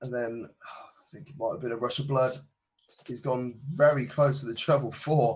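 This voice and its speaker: A man with a medium pitch speaks at a moderate pace, his voice somewhat breathy. His intonation is fairly even, but his loudness swings a lot. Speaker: darts commentator. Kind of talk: live commentary.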